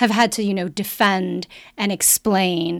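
A woman with a plain, everyday voice speaks at medium pitch with ordinary pitch variation, in a very clean recording over a silent background. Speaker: podcast host, sex and relationship expert. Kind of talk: casual chat.

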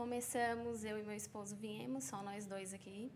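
Speaking at a fairly slow pace with ordinary pitch variation, a woman is heard with audible room echo. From São Paulo, Brazil. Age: 20s. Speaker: pizzeria owner, entrepreneur. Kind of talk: podcast interview.

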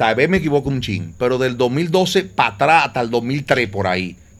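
A man with a Dominican Cibao accent, medium pitch and moderate pace, over music in the background. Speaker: DJ. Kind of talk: casual chat.

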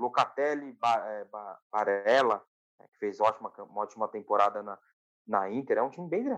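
A man's medium-pitched voice moves at a moderate pace, with ordinary pitch variation. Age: 20s. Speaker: football podcast co-host. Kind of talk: casual football chat. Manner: animated.

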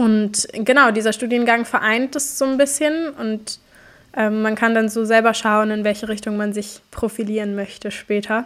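A woman speaks in an ordinary speaking voice at a moderate pace. Her pitch is fairly high and her intonation fairly even. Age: 20s. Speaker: climate activist and student. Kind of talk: casual interview.

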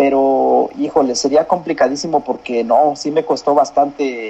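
Fairly even intonation at a moderate pace amid noticeable background noise. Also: man. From central Mexico, San Juan del Río (Querétaro). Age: 40s. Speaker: migrant worker and distance-learning university graduate. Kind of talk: interview. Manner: halting, many repeated words.

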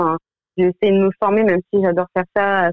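Talking at a fairly quick pace, a woman keeps a monotone, flat intonation. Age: 30s. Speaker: medical secretary. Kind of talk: testimony. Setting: radio studio. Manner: halting.

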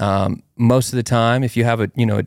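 A man with an ordinary speaking voice talks at a fairly quick pace and medium pitch, with fairly even intonation, in a very clean recording with a silent background and a dry, close sound with no echo. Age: 30s. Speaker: podcast host. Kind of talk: casual chat.

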